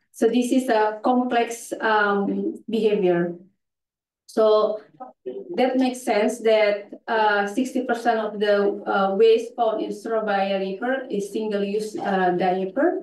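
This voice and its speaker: Audible room echo surrounds a woman's voice. She speaks at a very slow pace with ordinary pitch variation. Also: fairly high pitch for a woman. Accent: non-native. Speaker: conference presenter, NGO specialist. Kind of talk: conference presentation. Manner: halting, many fillers.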